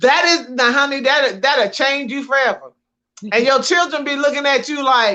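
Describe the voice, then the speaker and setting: Projecting her voice, a woman speaks at a moderate pace with a high pitch and a bright, sharp tone. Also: ordinary pitch variation. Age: 60s. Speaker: podcast co-host, minister. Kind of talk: casual chat.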